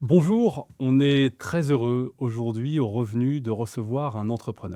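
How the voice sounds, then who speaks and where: A man's medium-pitched voice at a very slow pace, with ordinary pitch variation, a dry, close sound with no echo, and a very clean recording with a silent background. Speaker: interviewer, business show host. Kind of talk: interview questions.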